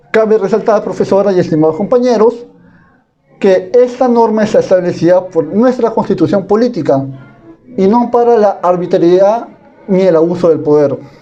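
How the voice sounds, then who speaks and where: With music in the background, a man speaks at a moderate pace in a high voice, keeping his loudness very even and his pitch variation ordinary. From Peru, Piura. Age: 20s. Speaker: university student. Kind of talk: class presentation. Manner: formal.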